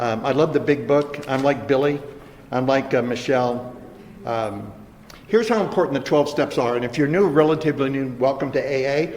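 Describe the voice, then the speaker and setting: A man with a fairly high pitch speaks over noticeable background noise. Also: ordinary pitch variation. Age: 70s. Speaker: recovery speaker. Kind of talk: recovery testimony talk. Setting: treatment center meeting with audience. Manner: halting, repetitive starts.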